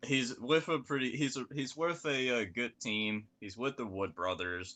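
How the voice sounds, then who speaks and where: A man with a Southern accent, medium pitch and a bright, sharp tone, lively intonation at a fairly slow pace, quiet background. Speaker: NASCAR podcast co-host. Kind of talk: casual chat. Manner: halting.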